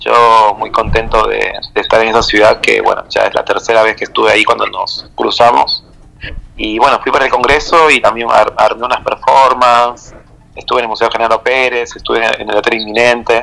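Clear background noise accompanies a man who speaks rather briskly. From Peru, Lima. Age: 30s. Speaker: blind artist and poet. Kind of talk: interview.

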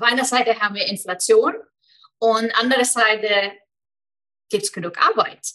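Speaking at a moderate pace with an Icelandic accent, a woman has a high, bright, sharp voice with ordinary pitch variation. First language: Icelandic (speaking German). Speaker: business mentor. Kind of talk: interview.

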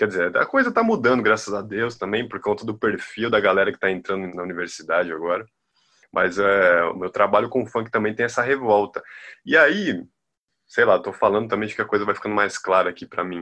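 Bright and sharp in tone, a man speaks at a fairly quick pace with ordinary pitch variation. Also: fairly low pitch for a man, quiet background. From Bahia, Brazil. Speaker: music researcher. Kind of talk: casual interview.

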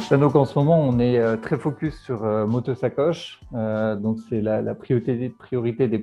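A man at a medium pitch, fairly slow, with ordinary pitch variation and music in the background. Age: 30s. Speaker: entrepreneur. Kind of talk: monologue portrait interview. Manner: hesitant with many fillers and repetitions.

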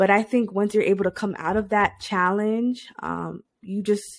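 In a very clean recording with a silent background, a woman talks at a moderate pace in an unremarkable speaking voice with fairly even intonation. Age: 30s. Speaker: podcast host. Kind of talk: solo motivational talk. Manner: casual with frequent fillers.

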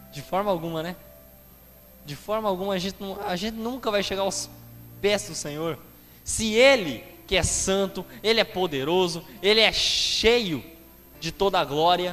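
Over noticeable background noise, a man with a high pitch and ordinary pitch variation talks at a moderate pace, leaving long, frequent pauses, his loudness swinging widely. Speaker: preacher. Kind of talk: sermon. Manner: earnest, explanatory preaching pace, repeating phrases for emphasis; addresses listeners directly and asks rhetorical questions.

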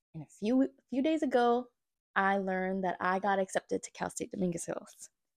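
A woman with a fairly high pitch speaks at a moderate pace in a normal speaking voice, her intonation lively and the sound dry and close with no echo. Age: 30s. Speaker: podcast host. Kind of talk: casual solo monologue. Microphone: new small budget mic.

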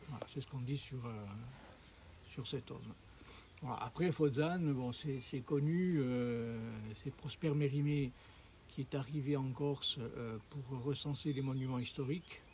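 A man speaks very slowly with long, frequent pauses, his dark, mellow tone somewhat breathy and his intonation fairly even. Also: fairly high pitch for a man. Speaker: local host guiding hikers. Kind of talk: casual chat. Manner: hesitant.

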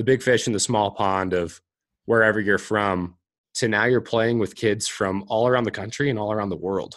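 In a quiet background, a man's moderately paced speech keeps fairly even intonation. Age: 20s. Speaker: professional hockey player. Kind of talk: casual interview chat.

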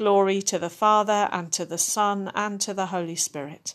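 A woman's ordinary speaking voice, medium in pitch, fairly slow and fairly even in intonation. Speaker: service leader. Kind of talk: compline service, liturgical prayer and scripture reading. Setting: recorded podcast service for people at home. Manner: hushed, slow, reverent, with long pauses; fervent, imploring, tender intercession.

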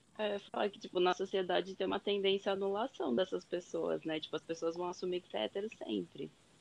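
Delivered at a fairly quick pace with hardly any pauses, an ordinary speaking voice carries ordinary pitch variation. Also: woman, medium pitch for a woman. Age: 20s. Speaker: medical student. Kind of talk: casual chat.

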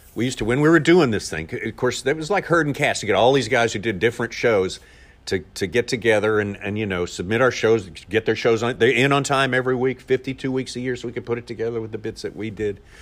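A man speaks very fast with a Southern US accent, at a medium pitch with ordinary variation. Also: very clean recording, silent background. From Arkansas, US South. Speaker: TV fishing show narrator and voiceover artist. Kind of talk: casual interview.

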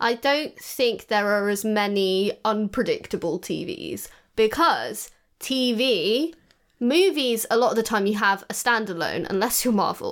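A playful woman's voice with an English accent, fairly high pitch and lively intonation, on a very clean recording with a silent background. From England. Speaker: podcast co-host. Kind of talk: casual chat. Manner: laughing, playful.

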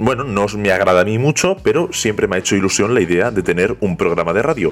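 Barely pausing, a man talks very fast at a fairly low pitch with lively intonation. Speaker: podcast host. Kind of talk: podcast intro monologue. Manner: talkative, nonstop.

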